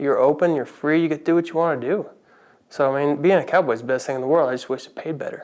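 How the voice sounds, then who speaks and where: This man speaks at a very fast pace in an American accent, his pitch fairly high. His intonation stays fairly even while his loudness swings widely. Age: 30s. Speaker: cowboy, reality show contestant. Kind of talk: interview. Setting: filmed interview set.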